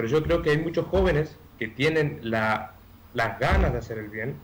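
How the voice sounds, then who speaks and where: With lively intonation and some vocal fry, a man of medium pitch talks at a moderate pace. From Argentina, Chaco. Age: 20s. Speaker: candidate for public office. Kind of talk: radio interview. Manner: hesitant, many fillers.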